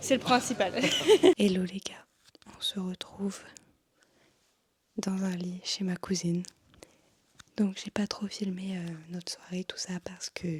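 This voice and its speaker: The speaker talks at a fairly slow pace with a somewhat breathy voice, flat monotone intonation and long, frequent pauses. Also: woman, medium pitch for a woman. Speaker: travel vlogger. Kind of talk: casual vlog chat. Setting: in bed at cousin's house. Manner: hesitant, many fillers; whispering.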